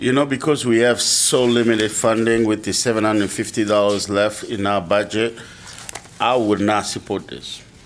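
A man with a fairly low pitch and fairly even intonation talks at a moderate pace amid noticeable background noise. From Kinshasa, Congo. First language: French and Lingala. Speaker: commissioner, nonprofit executive. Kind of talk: public meeting discussion.

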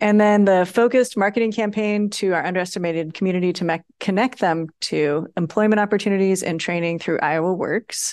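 In a plain, everyday voice at a medium pitch, a woman speaks at a moderate pace with ordinary pitch variation over a quiet background. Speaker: workshop facilitator. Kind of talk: public meeting presentation.

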